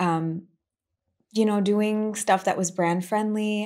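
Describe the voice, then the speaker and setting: A woman with an American accent has a dark, mellow tone and a fairly high pitch. She speaks at a moderate pace in a very clean recording with a silent background. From USA, Indian family. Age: 20s. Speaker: musician and former influencer. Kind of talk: casual chat.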